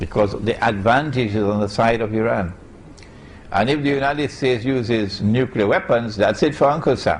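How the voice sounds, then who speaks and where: Audible room echo surrounds a man speaking at medium pitch and a moderate pace with ordinary pitch variation. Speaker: Islamic scholar. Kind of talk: lecture.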